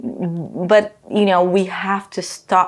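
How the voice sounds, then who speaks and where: A woman's voice at medium pitch. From Brazil. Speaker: author and teacher. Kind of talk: interview. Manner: halting, with frequent repetitions and fillers.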